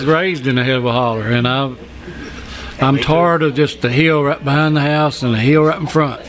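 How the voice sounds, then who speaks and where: A man speaks with an Appalachian accent in a fairly high pitch and a fairly even intonation. Noticeable background noise runs underneath. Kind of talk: podcast conversation. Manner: casual.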